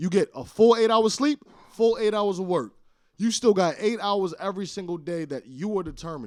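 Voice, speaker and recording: A loud man with a high pitch speaks in an animated tone. The recording is very clean, with a silent background. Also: lively intonation, moderate pace. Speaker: podcast co-host and studio founder. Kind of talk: casual chat.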